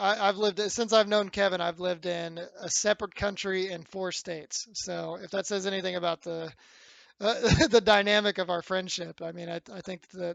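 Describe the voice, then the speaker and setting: Here a man speaks at a moderate pace. His voice is high-pitched and monotone, with flat intonation. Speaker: podcast co-host. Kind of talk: casual chat. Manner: halting, many fillers.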